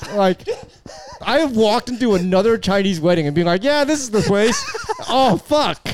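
A man with a Californian accent speaks at a moderate pace in a high voice with lively intonation, and there is noticeable background noise. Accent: Californian American. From US West Coast, San Francisco Bay Area. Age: 30s. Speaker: podcast guest. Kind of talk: casual chat.

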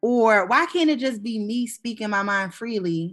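Music plays in the background as a woman with a fairly high pitch speaks in a passionate tone. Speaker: podcast co-host. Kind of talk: casual chat. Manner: loud, passionate, excitable.

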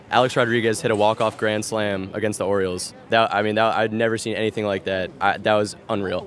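Over noticeable background noise, a man with an American accent talks at a fairly quick pace with hardly any pauses, his fairly low pitch held in fairly even intonation. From New Jersey. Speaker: baseball fan. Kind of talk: casual interview. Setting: at the ballpark.

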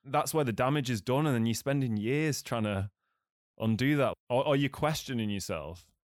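With an English accent, a man speaks at a moderate pace and a medium pitch with ordinary pitch variation, the sound dry and close with no echo on a very clean recording with a silent background. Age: 30s. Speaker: podcast host and filmmaker. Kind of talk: casual chat.

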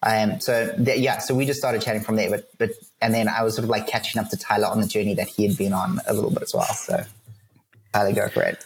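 A man's very fast speech at a very even loudness. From South Africa. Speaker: ministry leader. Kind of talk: casual interview chat. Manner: halting, many fillers.

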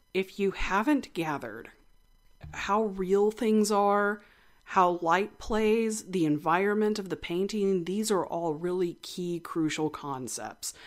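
On a very clean recording with a silent background, a woman speaks fairly slowly with lively intonation. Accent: slight West Texas. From West Texas. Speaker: art podcast host. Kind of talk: educational talk, casual lecture. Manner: casual, chatty, humorous.

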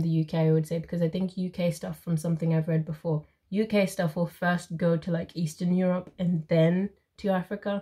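This woman's voice has a dark, mellow tone and is somewhat breathy. She speaks at a moderate pace. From Zimbabwe. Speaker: YouTuber and book reader. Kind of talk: casual chat.

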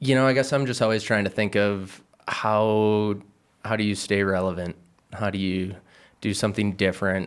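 A man speaks with a normal speaking voice, fairly low in pitch, at a moderate pace and with fairly even intonation. The recording is very clean with a silent background. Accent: American. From Michigan, Rochester Hills. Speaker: pro skier and filmmaker. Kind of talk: casual chat.

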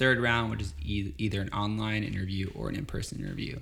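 Talking at a very fast pace, a man with a fairly low voice is heard through noticeable background noise. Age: 20s. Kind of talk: casual interview.

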